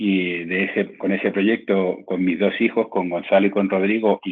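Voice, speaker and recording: At a fairly slow pace, a man with a fairly low pitch talks with fairly even intonation. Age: 60s. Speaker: sports journalist. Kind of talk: interview. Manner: halting, with frequent repetitions.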